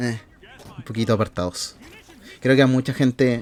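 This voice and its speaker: A man with monotone, flat intonation. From southern Chile, Temuco. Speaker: content creator. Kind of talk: personal vlog monologue. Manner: casual, with frequent fillers.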